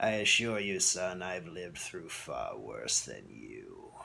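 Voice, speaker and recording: A man speaks in a raspy, put-on character voice at a fairly slow pace. His loudness swings widely. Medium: read story. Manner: erratic pitch, mocking showman.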